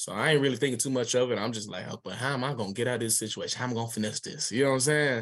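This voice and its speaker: A man's animated, very fast delivery at a medium pitch with ordinary pitch variation. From Atlanta, Georgia. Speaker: author. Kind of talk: interview storytelling. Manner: casual, animated.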